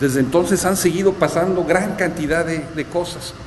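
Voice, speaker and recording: Noticeable background noise sits behind a man whose pitch shows ordinary variation. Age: 60s. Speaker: author. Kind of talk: book presentation talk. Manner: halting, many fillers.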